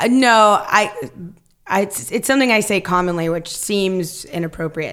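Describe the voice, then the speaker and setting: An unremarkable speaking voice from a woman with an American accent, medium pitch, ordinary pitch variation and a moderate pace. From Northern California (Stockton). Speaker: actress and improviser. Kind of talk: casual chat.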